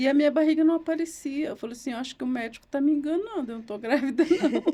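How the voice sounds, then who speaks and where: The woman's dark, mellow tone is paired with lively intonation. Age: 60s. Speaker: lawyer and writer. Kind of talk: interview testimony.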